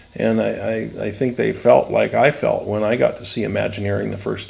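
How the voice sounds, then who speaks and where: A man talks at a fairly quick pace with an American accent. Noticeable background noise sits behind him. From San Bernardino, California. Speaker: animatronics designer and company founder. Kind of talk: interview answer. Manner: casual, rambling with many fillers.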